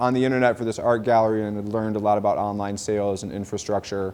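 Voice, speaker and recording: The voice has a dark, mellow tone and a Midwestern American accent. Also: man. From Michigan, Detroit suburbs. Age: 30s. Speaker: rapper and rare book dealer. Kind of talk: casual vlog narration; documentary interview. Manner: casual, filler-heavy.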